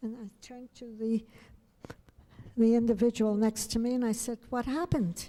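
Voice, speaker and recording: A woman speaks with a New York accent. Her fairly high voice has a dark, mellow tone. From New York City. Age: 80s+. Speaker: fencing coach. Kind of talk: acceptance speech. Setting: hotel banquet.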